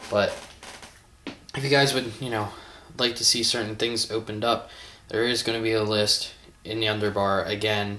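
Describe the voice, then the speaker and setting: A man speaks at a moderate pace with long, frequent pauses and monotone, flat intonation. Noticeable background noise is present. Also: medium pitch for a man. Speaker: toy collector video host. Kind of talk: casual toy unboxing vlog. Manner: hesitant, filler-heavy.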